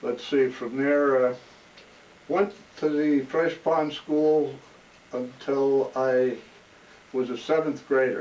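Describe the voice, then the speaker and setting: In a New Jersey accent, a man speaks very slowly with a fairly high pitch and fairly even intonation. Long pauses come often. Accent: New Jersey American. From New Jersey, South Brunswick. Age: 80s+. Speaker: oral history interviewee, retired corrections officer. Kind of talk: oral history interview. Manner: halting, with fillers and restarts.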